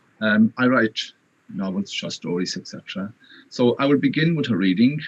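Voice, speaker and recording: Speaking in a Connemara accent at a moderate pace, a man uses lively intonation in a dry, close sound with no echo. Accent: Connemara Irish. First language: Irish. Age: 50s. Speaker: writer. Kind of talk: interview.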